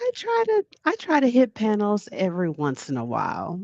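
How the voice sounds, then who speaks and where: A woman speaks in a soft-spoken way. The sound is dry and close, with no echo. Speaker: livestream chat moderator and panel guest. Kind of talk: casual chat. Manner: slow.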